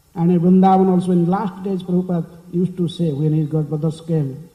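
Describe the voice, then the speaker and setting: Over music in the background, a man with an Indian accent talks at a fairly quick pace in a high pitch with monotone, flat intonation. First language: not English. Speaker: monk lecturer. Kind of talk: lecture. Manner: fast; hesitant fillers.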